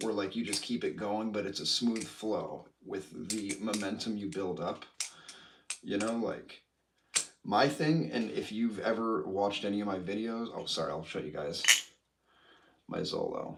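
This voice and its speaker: Speaking with an American accent, a man with a fairly low pitch talks at a moderate pace, using ordinary pitch variation and long, frequent pauses. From Illinois. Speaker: knife collector and balisong flipper. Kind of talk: casual livestream chat. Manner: casual, filler-heavy.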